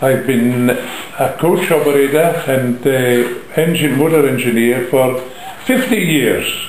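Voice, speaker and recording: There is audible room echo and light background noise as a man speaks very slowly with ordinary pitch variation. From Braemar, Aberdeenshire, Scotland. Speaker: coach operator and motor engineer. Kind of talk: interview answer. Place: home room. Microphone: phone near.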